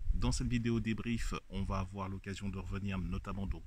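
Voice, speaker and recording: A man at a fairly low pitch speaks at a moderate pace, his voice somewhat breathy. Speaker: handball analyst and sports announcer. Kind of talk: video debrief analysis.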